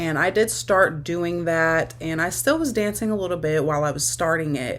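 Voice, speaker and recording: The speaker goes at a moderate pace with ordinary pitch variation, against noticeable background noise. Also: woman, fairly low pitch for a woman. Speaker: online sex worker and content creator. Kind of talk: casual talk-to-camera advice video.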